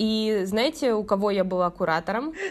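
Speaking at a fairly slow pace, a woman uses an unremarkable speaking voice pitched fairly high. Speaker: university student mentor coordinator. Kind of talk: casual interview.

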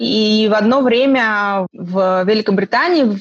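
A woman speaks at a medium pitch, very slowly. The sound is dry and close, with no echo. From Estonia, Russian-speaking, born in Khabarovsk. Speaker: magazine publisher. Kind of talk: interview.

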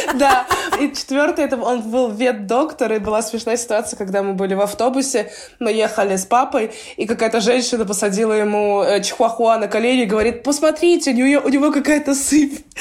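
A woman talks at a fairly quick pace in an ordinary speaking voice, at a fairly high pitch with ordinary pitch variation. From Russia, Belgorod region. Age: 20s. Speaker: professional basketball player. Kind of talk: interview, casual chat.

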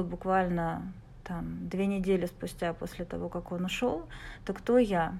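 A woman speaks with a dark, mellow tone. Her pitch is medium and her pace moderate. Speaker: mother sharing birth story. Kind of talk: casual chat. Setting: video call.

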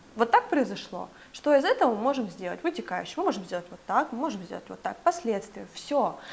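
A woman talks in an animated tone at a fairly quick pace. Her pitch swings very widely and her loudness shifts a lot. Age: 20s. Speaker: clothing brand co-founder. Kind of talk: casual interview.

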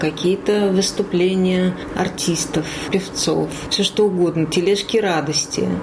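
Noticeable background noise sits behind a woman's voice. She talks at a very slow pace with ordinary pitch variation. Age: 40s. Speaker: former radio journalist, hospice patient. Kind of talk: interview. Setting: hospice room, in bed. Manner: animated.

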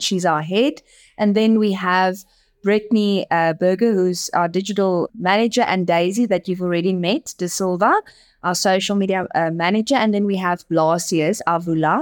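A woman with a South African accent speaks at a moderate pace and a medium pitch. Her loudness stays very even, and her pitch varies in an ordinary way. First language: Afrikaans. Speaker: advertising agency managing director. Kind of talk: interview.

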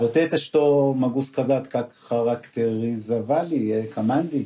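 With a non-native accent, a man speaks at a very slow pace and medium pitch, keeping his intonation fairly even and his loudness very even. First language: not Russian (speaking Russian). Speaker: former CEO, business mentor. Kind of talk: interview. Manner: halting.

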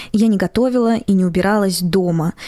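With a Moscow accent, a woman speaks at a moderate pace in a medium pitch with ordinary variation and a dark, mellow tone, the sound dry and close with no echo. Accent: Moscow Russian. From Russia, Moscow. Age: 20s. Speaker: podcast host. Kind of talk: personal monologue podcast.

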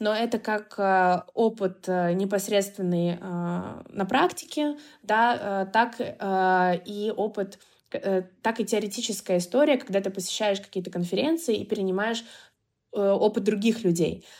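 Very slowly, a woman speaks at a medium pitch with ordinary pitch variation. The recording is very clean, with a silent background. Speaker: marketing agency founder. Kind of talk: interview.

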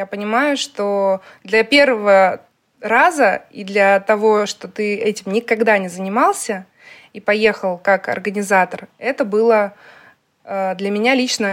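A woman speaks at a very slow pace and medium pitch with ordinary pitch variation. Her loudness swings widely. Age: 30s. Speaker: tour organizer and cooking host. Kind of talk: casual interview.

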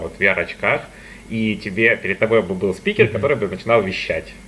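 Moderate pace, ordinary pitch variation and an unremarkable speaking voice from a man. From Donetsk, Ukraine. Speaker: master's student. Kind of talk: casual group discussion. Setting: video call.

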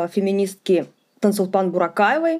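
The tone is dark and mellow. It belongs to a woman. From Ufa, Bashkortostan. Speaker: feminist activist and podcaster. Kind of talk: interview.

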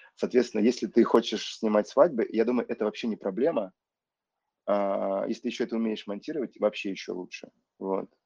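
A man with a plain, everyday voice talks fairly quickly at a medium pitch with ordinary pitch variation, the sound dry and close with no echo against a quiet background. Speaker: film director. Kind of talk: casual interview.

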